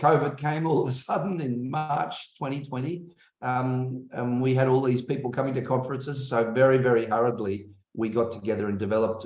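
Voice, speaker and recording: Man with an Australian accent, medium pitch, ordinary pitch variation and a fairly quick pace, plus audible room echo. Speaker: academic and conference host. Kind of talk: online conference welcome. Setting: video call. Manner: hesitant, many fillers.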